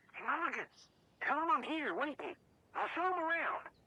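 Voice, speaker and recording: A put-on character voice delivers its lines in a high pitch at a moderate pace. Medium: video game. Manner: grumbling, blunt.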